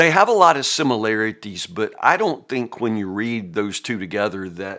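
This man has a Southern US accent and a bright, sharp tone. His pitch is fairly low and his pace moderate. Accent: US South. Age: 50s. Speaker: pastor. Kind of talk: Bible teaching. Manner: casual, conversational.

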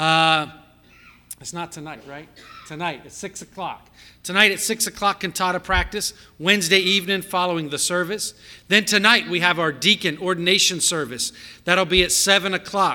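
This man has a high, bright, sharp voice. He keeps a moderate pace with fairly even intonation. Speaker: church staff member. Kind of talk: church announcements. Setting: church.

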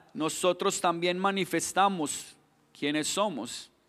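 A man with a Colombian accent, high in pitch, at a very slow pace with ordinary pitch variation, on a very clean recording with a silent background. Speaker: pastor. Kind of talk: sermon.

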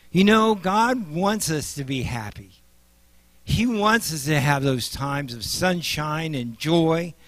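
A man with a Midwestern US accent, fairly high in pitch, very slow, with very wide pitch swings. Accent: US Midwest. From Nebraska. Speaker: lay preacher and paramedic. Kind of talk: sermon.

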